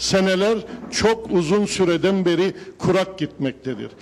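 Here a man speaks at a high pitch. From Northern Cyprus. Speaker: civil society spokesman. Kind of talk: town hall speech. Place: hall. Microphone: handheld.

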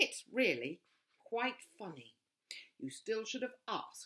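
An unforced reading voice with lively intonation and a quiet background

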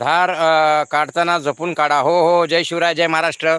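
A man speaks in a high voice with a bright, sharp tone. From Pune, Maharashtra. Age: 50s. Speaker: YouTuber, retired banker. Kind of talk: live stream chat. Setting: outdoors on a farm. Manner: animated.

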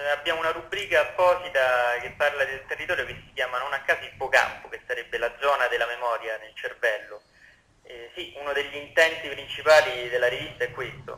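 Noticeable background noise sits behind a man talking at a fairly quick pace. His fairly high-pitched voice shows big swings in loudness. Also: ordinary pitch variation. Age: young. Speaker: magazine editor. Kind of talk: radio interview. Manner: halting.

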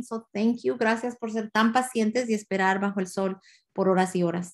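In a quiet background, a woman speaks at a fairly quick pace with a fairly high pitch and ordinary pitch variation. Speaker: school administrator. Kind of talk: bilingual school orientation presentation. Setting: video call. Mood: warm, reassuring. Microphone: video call.

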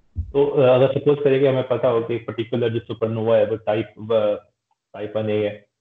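A man speaks fairly slowly with hardly any pauses and fairly even intonation. Room echo is audible against a quiet background. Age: 20s. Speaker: podcast host. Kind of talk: interview. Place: home room. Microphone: video call.

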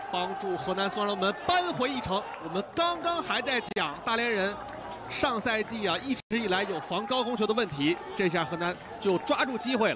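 A raised, projected voice with an excited tone and very wide pitch swings moves at a moderate pace over noticeable background noise. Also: man, high pitch for a man. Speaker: football commentator. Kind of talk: live football commentary. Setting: broadcast commentary. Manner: excited, raised voice on goals.

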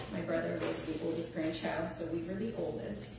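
Strong room echo and noticeable background noise fill the clip. A woman with a fairly low pitch speaks with ordinary pitch variation. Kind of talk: eulogy speech. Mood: warm, fond, lightly humorous. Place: church. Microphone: camera far.

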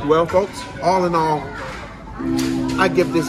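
A man talks while clear music plays behind him. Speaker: food show host. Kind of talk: food review commentary. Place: cafe. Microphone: camera far.

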